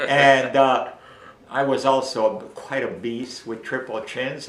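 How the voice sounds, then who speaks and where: Fairly slow speech comes through noticeable background noise and audible room echo. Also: man. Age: 70s. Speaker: raw food author. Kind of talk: casual interview. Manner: animated.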